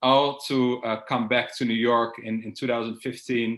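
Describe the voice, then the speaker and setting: Speaking fairly quickly in a Dutch accent, a man keeps a medium pitch and a monotone, flat intonation. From Netherlands, Amsterdam. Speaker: security expert. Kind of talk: interview. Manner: hesitant, with fillers and repeats.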